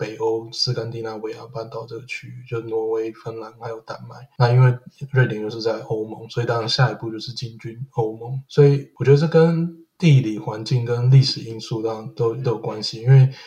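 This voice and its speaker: A man with a medium-pitched, dark, mellow and somewhat breathy voice talks fairly quickly with fairly even intonation and big swings in loudness. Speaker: podcaster living in Sweden. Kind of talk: casual chat. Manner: halting, frequent word repetitions.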